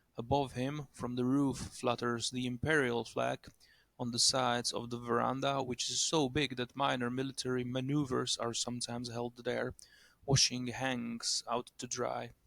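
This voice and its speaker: Recorded with a dry, close sound and no echo, a man with a non-native accent talks fairly slowly at a medium pitch in a monotone, flat intonation. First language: not English. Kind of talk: short story reading.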